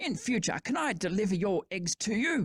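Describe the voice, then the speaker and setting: A woman growls in a put-on character voice at a medium pitch. She keeps a moderate pace while her pitch swings very widely. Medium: read story. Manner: muttering.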